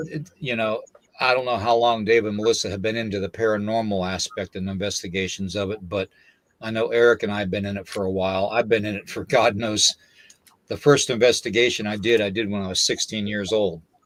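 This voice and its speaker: This is an ordinary speaking voice from a man with a fairly low pitch. He talks at a fairly quick pace with fairly even intonation. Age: 60s. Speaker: paranormal podcast host. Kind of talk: casual chat.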